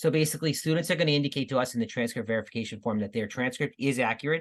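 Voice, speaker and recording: A man speaks in a fairly high voice over a quiet background. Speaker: school counselor. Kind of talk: informational presentation. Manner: fast.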